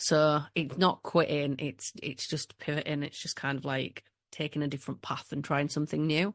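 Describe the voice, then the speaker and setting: Strong Yorkshire accent at a moderate pace with fairly even intonation, dry, close sound with no echo, and a quiet background. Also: woman, very deep, low pitch for a woman. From Yorkshire, northern England (Leeds, then Whitby). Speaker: business coach. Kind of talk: podcast interview.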